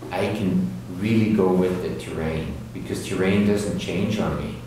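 Strong room echo surrounds the voice, over light background noise. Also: man. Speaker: avalanche course instructor. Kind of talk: lecture. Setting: classroom with live audience. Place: hall.

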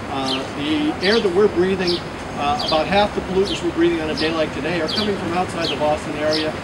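A man at a fairly quick pace, ordinary pitch variation, loud background noise behind him. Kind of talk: public speech. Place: street. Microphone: handheld.

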